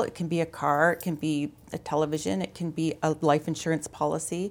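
On a very clean recording with a silent background, a woman uses an ordinary speaking voice with a Canadian accent. Her pitch is fairly low and her pace moderate. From Ontario, Canada (London). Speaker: insurance sales manager. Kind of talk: interview. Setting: studio.

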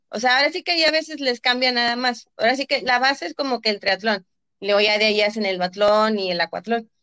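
In a dry, close recording with no echo, a woman with a fairly high voice speaks fairly quickly in a normal speaking voice with ordinary pitch variation. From Reynosa, Tamaulipas, northern Mexico. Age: 20s. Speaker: athlete and physiotherapist. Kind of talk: interview.

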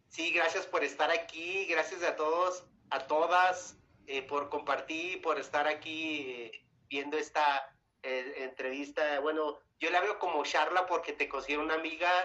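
A man with a northern Mexican accent speaks at a fairly slow pace. His pitch is fairly high and his intonation fairly even. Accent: northern Mexican (Chihuahua). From Mexico, Chihuahua. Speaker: singer. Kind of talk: interview. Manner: halting.

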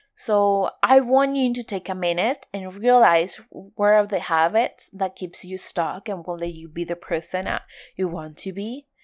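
In a very clean recording with a silent background, a woman with a non-native accent speaks at a fairly slow pace and medium pitch, with ordinary pitch variation, big swings in loudness and hardly any pauses. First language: not English. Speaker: podcast host. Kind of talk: solo podcast monologue. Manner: halting.

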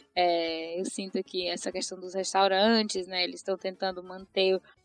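A woman speaks in a monotone, flat intonation. Her voice is dry and close with no echo, and music plays in the background. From Brazil, interior of Ceará (Tianguá). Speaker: market researcher. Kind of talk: casual chat.

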